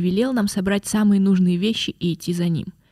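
A woman with a medium pitch and a dark, mellow tone speaks at a moderate pace, somewhat breathy, in a dry, close sound with no echo. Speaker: podcast guest. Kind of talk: casual chat.

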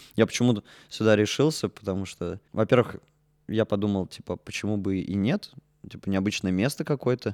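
In a very clean, silent recording with a dry, close sound and no echo, a man with an ordinary speaking voice talks at a fairly quick pace, his fairly low pitch showing ordinary variation. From Russia, Orenburg. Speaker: puppet theatre actor and musician. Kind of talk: casual chat.

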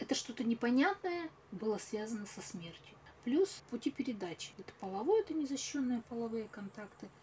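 Fairly quick and fairly high, a woman's dark, mellow voice shows very wide pitch swings and big swings in loudness. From Russia, Tyumen. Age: 40s. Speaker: clinical psychologist. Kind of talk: interview.

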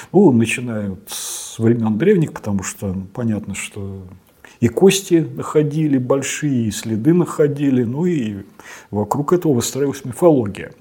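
With a plain, everyday voice at medium pitch, a man speaks at a moderate pace with lively intonation and big swings in loudness. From Russia, Samara. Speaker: paleontologist and professor. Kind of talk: interview.

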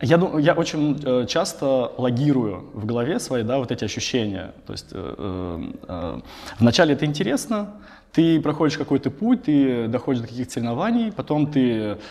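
A man at a moderate pace, medium pitch, with very wide pitch swings. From Russia, Tambov. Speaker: tech company CEO. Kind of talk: interview. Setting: office. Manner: halting.

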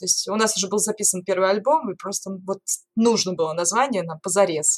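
Using an ordinary speaking voice, a woman talks fairly quickly at a medium pitch. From Norilsk, Russia. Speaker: singer turned lighthouse tour guide. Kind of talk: casual interview conversation.

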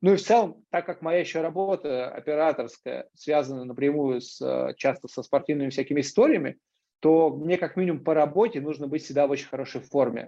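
Against a quiet background, a man with a dark, mellow tone speaks at a fairly quick pace, his fairly high pitch showing ordinary variation. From Moscow, Russia. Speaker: extreme sports athlete and camera operator. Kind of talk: casual interview.

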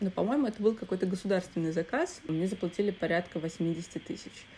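A woman has a dark, mellow tone. She talks fairly quickly with ordinary pitch variation. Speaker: theatre critic and director. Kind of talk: casual chat. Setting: remote recording.

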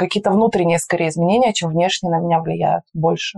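Her voice has a dark, mellow tone, and the woman speaks at a fairly low pitch with monotone, flat intonation in a dry, close sound with no echo. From Russia, Urals (Magnitogorsk, Chelyabinsk region). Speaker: PR agency founder. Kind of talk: interview. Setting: face-to-face, not in a studio.

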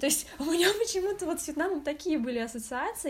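A woman with lively intonation and a fairly quick pace. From Moscow, Russia. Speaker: podcast guest, oriental studies graduate. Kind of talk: casual chat.

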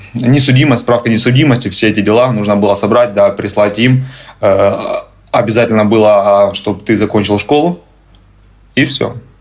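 The speech moves at a moderate pace with fairly even intonation and very even loudness. Background noise is noticeable. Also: man. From Ukraine. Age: 30s. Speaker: immigrant, tour guide. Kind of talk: interview, casual chat.

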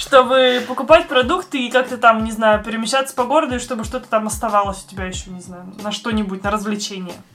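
A woman with a fairly high voice talks at a very fast pace, barely pausing, her pitch moving in an ordinary way. Her loudness swings widely, with music playing behind her. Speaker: podcast host. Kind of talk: casual chat.

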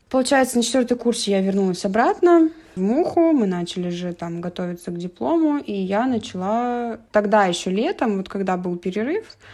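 Very wide pitch swings mark this dark, mellow voice, which moves at a moderate pace. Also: woman, fairly high pitch for a woman. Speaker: architecture student. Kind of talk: interview.

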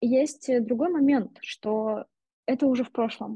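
Music plays in the background of a dry, close recording with no echo, and the voice shows ordinary pitch variation. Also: woman. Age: 20s. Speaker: marketing director. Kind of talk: interview.

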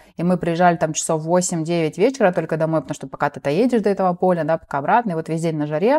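A woman's fairly low voice at a very fast pace, with ordinary pitch variation, in a very clean recording with a silent background and a dry, close sound with no echo. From southern Russia, rural Cossack village. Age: 30s. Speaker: entrepreneur. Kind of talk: interview conversation.

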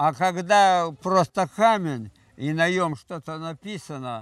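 On a very clean recording with a silent background, a man does the talking. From Transbaikal, eastern Siberia, Russia. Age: 80s+. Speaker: folk artist and sculptor. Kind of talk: interview.

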